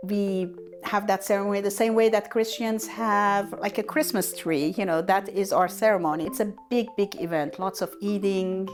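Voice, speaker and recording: A woman speaks at medium pitch and a moderate pace. Her pitch varies in an ordinary way, with music in the background. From Iran. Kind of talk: interview answer.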